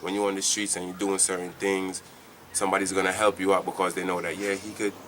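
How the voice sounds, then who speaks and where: Monotone, flat intonation against noticeable background noise. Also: man. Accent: Jamaican. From Jamaica. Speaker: church member giving testimony. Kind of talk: testimony. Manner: halting.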